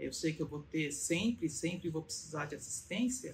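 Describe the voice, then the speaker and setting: With lively intonation and vocal fry, a woman speaks fairly slowly at a fairly low pitch. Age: 70s. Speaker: patient giving testimonial. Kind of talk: testimony. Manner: halting, with many fillers.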